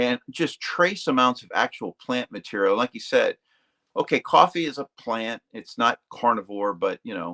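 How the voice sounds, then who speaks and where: A man talks at a moderate pace with big swings in loudness. The sound is dry and close, with no echo. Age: 60s. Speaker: retired Navy and defense worker, carnivore dieter. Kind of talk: casual chat. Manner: halting, many fillers.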